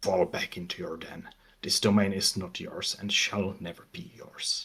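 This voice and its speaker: A quiet, put-on character voice from a man. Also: fairly low pitch for a man, moderate pace. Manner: quiet, commanding.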